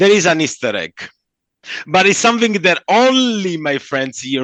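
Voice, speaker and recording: A man's moderate-paced speech in a Southern Italian accent, with very wide pitch swings. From southern Italy. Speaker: comic book artist. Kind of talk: interview. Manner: halting; animated.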